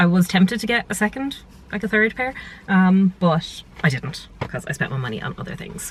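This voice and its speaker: Fairly quick and with lively intonation, a woman speaks with an Irish accent. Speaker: lifestyle vlogger. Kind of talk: casual vlog. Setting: at home in bedroom. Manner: whispering.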